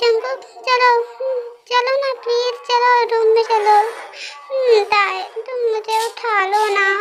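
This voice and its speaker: Over clear background noise, a woman does a put-on character voice at an extremely high pitch, delivered in a monotone, flat way. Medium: read story.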